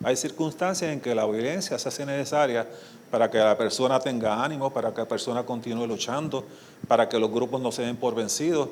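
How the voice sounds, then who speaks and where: A man with a Puerto Rican accent talks at a fairly quick pace, his pitch medium with ordinary variation. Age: 70s. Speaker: criminologist and social worker. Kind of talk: conference lecture.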